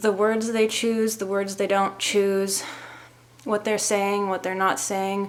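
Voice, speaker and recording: This woman has an American accent. Her intonation stays monotone and flat. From US Pacific Northwest (Seattle). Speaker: vlogger and author. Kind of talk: casual vlog talk to camera. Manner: slow, deliberate; hesitant, with fillers.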